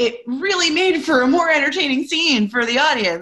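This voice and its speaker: With an American accent, a woman speaks at a fairly quick pace in a raised, projected voice full of very wide pitch swings. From Pittsburgh, US. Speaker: improv coach and teacher. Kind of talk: casual interview chat.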